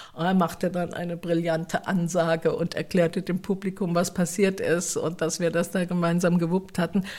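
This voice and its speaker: A woman's fairly low voice at a moderate pace, monotone and flat, with hardly any pauses. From Mannheim area, Germany. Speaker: theatre staff member. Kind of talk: casual interview.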